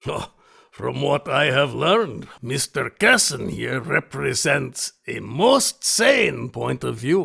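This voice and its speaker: A raspy, put-on character voice from a man, fairly high in pitch and very slow. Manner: formal, courtly.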